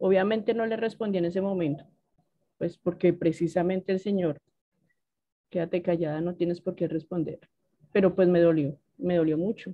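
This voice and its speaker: A woman at a moderate pace, fairly low in pitch, with fairly even intonation and long, frequent pauses. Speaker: Bible study participant. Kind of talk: personal testimony.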